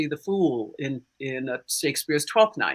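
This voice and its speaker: A woman's bright, sharp voice with an American accent, lively intonation and a fairly slow pace, in a very clean recording with a silent background. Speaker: stage actor and singer. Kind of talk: panel discussion.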